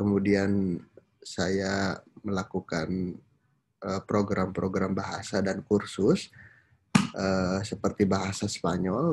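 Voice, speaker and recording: A man speaks at a very slow pace with a monotone, flat intonation. His pitch sits fairly low. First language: Sundanese (speaking Indonesian). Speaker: university lecturer. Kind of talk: lecture. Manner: frequent hesitation fillers.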